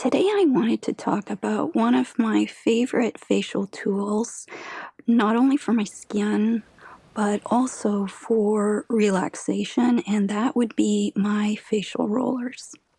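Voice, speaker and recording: A soft-spoken woman talks at a very slow pace in a fairly high pitch. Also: ordinary pitch variation, very even loudness, dry, close sound with no echo. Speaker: beauty content creator. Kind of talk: ASMR skincare tutorial.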